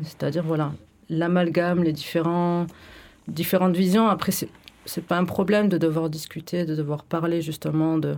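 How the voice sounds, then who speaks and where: A woman's monotone, flat intonation on a very clean recording with a silent background. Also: moderate pace. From France, Bordeaux. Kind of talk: radio discussion. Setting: radio studio.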